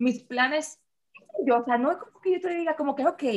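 Very wide swings in pitch from a woman with a high voice. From Dominican Republic. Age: 30s. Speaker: podcast co-host. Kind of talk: casual chat.

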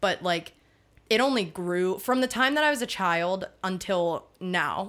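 On a very clean recording with a silent background, a woman speaks. Her pitch is fairly low, and her pace is moderate. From Pittsburgh, US. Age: 20s. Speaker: actress and co-host. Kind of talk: casual chat.

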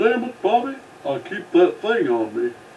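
Over clear background noise, a man puts on a character voice at an extremely high pitch and a moderate pace. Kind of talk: folksy, easygoing.

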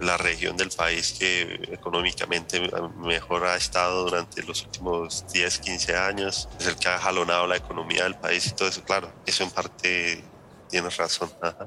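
Heard over noticeable background noise, a man's very deep, low voice moves at a moderate pace with very even loudness and fairly even intonation. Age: 30s. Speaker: agronomist. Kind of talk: interview.

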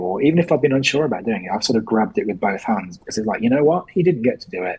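Here is a man with an English accent. He speaks with lively intonation. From England. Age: 40s. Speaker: science journal editor. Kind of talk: interview.

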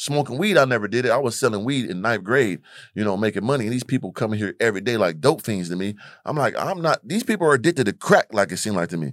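A man talking at a very fast pace with lively intonation, dry and close with no echo, on a very clean recording with a silent background. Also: medium pitch for a man. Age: 40s. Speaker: influencer. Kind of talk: casual chat. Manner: animated.

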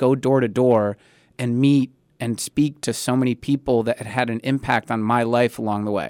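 A man's monotone, flat delivery in an American accent, medium pitch for a man at a moderate pace, with a dry, close sound with no echo and a very clean recording with a silent background. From Springfield, Western Massachusetts. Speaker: political candidate, attorney. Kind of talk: radio interview. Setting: studio.

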